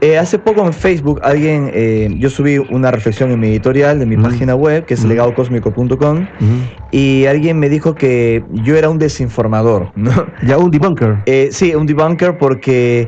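Moderately paced and very even in loudness, a man talks in an unremarkable speaking voice. His pitch is medium, with ordinary variation. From Peru (Lima). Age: 30s. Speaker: UFO contactee, speaker. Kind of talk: radio interview. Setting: radio studio.

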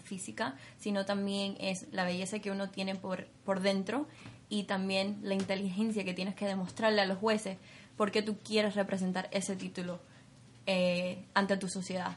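A somewhat breathy voice with monotone, flat intonation at a moderate pace. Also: woman. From Cuba. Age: 20s. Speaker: beauty pageant winner. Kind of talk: interview.

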